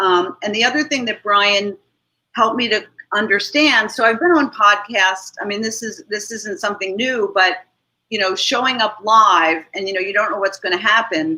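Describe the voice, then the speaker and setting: Moderate pace with ordinary pitch variation. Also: woman, fairly high pitch for a woman. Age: 60s. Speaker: marketing consultant and business owner. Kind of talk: live video podcast interview. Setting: live video stream. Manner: animated.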